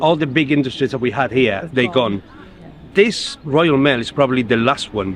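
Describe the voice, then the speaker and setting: With a Spanish accent, a man talks at a moderate pace with ordinary pitch variation. Background noise is noticeable. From Spain. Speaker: union rep, postal worker. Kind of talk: interview. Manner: halting.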